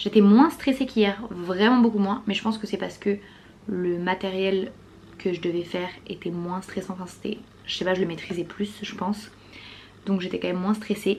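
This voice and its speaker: Speaking at a moderate pace, a woman uses a medium pitch and fairly even intonation. Long, frequent pauses break up her speech. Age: 20s. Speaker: vlogger and performer. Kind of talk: vlog.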